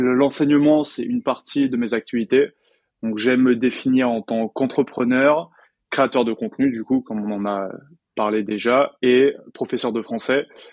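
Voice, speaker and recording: Over a quiet background, a man with an unremarkable speaking voice talks at a medium pitch and a fairly slow pace, the sound dry and close with no echo. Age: 20s. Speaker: French teacher and entrepreneur. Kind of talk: casual interview chat.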